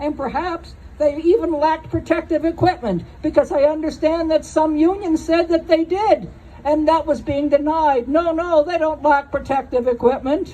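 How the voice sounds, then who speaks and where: Her voice is high-pitched, with a dark, mellow tone. The woman keeps a moderate pace and fairly even intonation. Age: 70s. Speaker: nurse. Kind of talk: speech at a protest rally. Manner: conversational, digressive.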